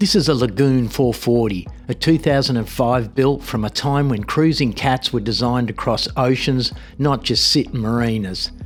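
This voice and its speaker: The speaker, with an Australian accent, talks at a moderate pace with very even loudness and ordinary pitch variation. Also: man, medium pitch for a man. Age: 50s. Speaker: travel vlogger. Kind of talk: casual vlog talk to camera.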